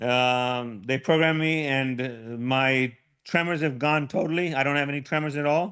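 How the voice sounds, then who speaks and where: The intonation stays fairly even at a moderate pace. The tone is bright and sharp against a quiet background. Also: man, fairly high pitch for a man. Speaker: Parkinson's patient sharing deep brain stimulation experience. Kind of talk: personal testimony in a support group session. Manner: hesitant, with frequent repetitions.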